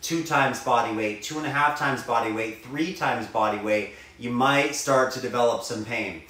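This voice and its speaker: Audible room echo hangs around this man's voice. He keeps a moderate pace and ordinary pitch variation. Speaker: fitness trainer. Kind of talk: tutorial. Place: home room. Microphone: camera far.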